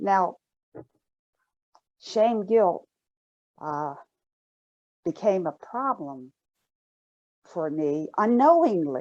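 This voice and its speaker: Against a quiet background, a woman of medium pitch speaks at a very slow pace with very wide pitch swings and long, frequent pauses. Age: 70s. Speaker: shame and guilt educator, counselor, former nurse. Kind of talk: online summit interview.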